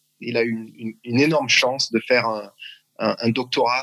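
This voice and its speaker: Fairly level intonation from a man with a mid-range voice. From France, Strasbourg (Alsace). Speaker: athletics coach. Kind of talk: interview. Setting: video call. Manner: halting.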